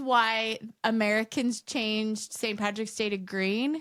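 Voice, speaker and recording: The voice comes through loud, with an animated tone. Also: woman. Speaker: podcast co-host. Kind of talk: casual chat.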